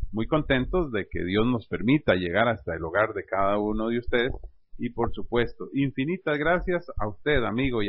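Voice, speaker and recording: With an ordinary speaking voice at medium pitch, a man talks at a moderate pace with lively intonation. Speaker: radio host. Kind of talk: comedy sketch interview; radio announcement.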